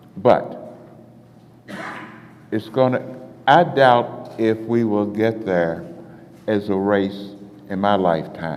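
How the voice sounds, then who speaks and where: The speech moves at a very slow pace with lively intonation and long, frequent pauses over noticeable background noise. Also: man, fairly low pitch for a man. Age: 80s+. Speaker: civil rights marcher. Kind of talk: panel discussion.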